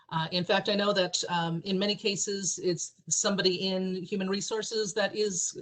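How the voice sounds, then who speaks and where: A woman's medium-pitched voice in a monotone, flat intonation, with noticeable background noise. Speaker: government ethics official presenting training. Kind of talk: training webinar presentation. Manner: fast.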